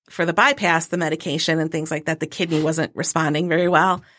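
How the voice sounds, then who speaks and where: A woman with an American accent speaks at a fairly low pitch with fairly even intonation. The recording is very clean, with a silent background. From Michigan. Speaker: middle school English teacher. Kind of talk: casual interview chat. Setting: studio.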